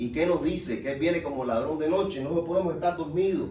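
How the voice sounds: The voice has a dark, mellow tone and ordinary pitch variation, moving at a fairly quick pace. Room echo can be heard. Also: man, fairly high pitch for a man.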